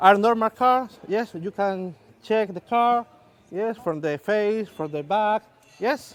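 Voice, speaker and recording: A man speaks very slowly at a high pitch in a Spanish accent. The sound is dry and close, with no echo. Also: ordinary pitch variation. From southern Spain. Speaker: magician. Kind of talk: stage magic performance. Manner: halting, hesitant.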